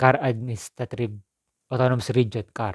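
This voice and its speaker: Recorded very cleanly against a silent background, a man speaks at a medium pitch in a dry, close sound with no echo. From Philippines, Southern Quezon. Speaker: vlogger. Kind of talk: personal appeal to viewers. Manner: halting, with repetitions.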